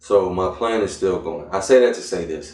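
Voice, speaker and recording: With an American accent, a man talks in a very deep, low pitch at a moderate pace, his pitch varying in an ordinary way. His voice is somewhat breathy, and audible room echo surrounds it. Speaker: vlogger. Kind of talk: casual vlog monologue. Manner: hesitant, many fillers.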